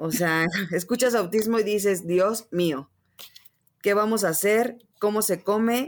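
Ordinary pitch variation at a very slow pace. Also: woman. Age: 30s. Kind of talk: interview conversation.

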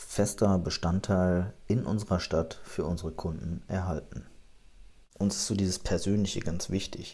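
Fairly low in pitch, a man's voice has a dark, mellow tone and is somewhat breathy. He speaks at a fairly slow pace. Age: 30s. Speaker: insurance agency manager and podcast host. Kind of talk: podcast monologue, promotional.

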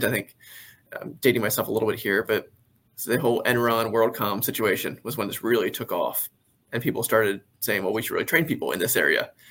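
With an American accent, a man talks at a fairly quick pace in a normal speaking voice of medium pitch. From Maryland, Carroll County. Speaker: business valuation expert. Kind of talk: interview.

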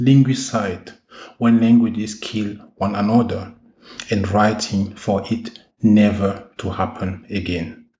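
A fairly low, somewhat breathy male voice moves at a very slow pace with fairly even intonation. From Africa. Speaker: university professor. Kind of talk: scripted reflection.

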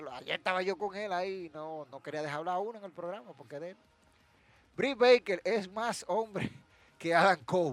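The recording has a dry, close sound with no echo. A high-pitched man speaks at a moderate pace with big swings in loudness. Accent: Dominican. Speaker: wrestling podcast host. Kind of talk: solo podcast commentary. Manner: animated.

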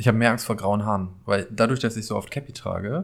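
A man with an East Westphalian accent, fairly low in pitch, at a very fast pace with ordinary pitch variation, on a very clean recording with a silent background. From Paderborn, East Westphalia. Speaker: podcast guest, friend of host. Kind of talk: casual chat.

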